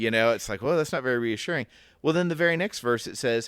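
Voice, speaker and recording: In an American accent, a man speaks at medium pitch with lively intonation on a very clean recording with a silent background. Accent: Southern US accent, slips out. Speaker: podcast co-host. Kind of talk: casual Bible discussion.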